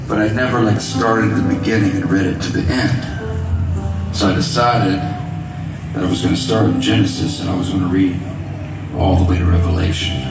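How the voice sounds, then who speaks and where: A man at a moderate pace with ordinary pitch variation, music in the background and audible room echo. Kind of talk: stage talk to audience. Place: stage.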